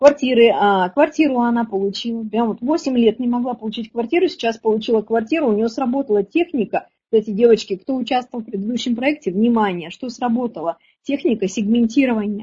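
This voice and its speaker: Speaking at a fairly quick pace, a woman keeps a fairly high pitch with ordinary variation. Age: 40s. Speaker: women's relationship coach. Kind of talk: webinar lecture. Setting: online webinar. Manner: animated.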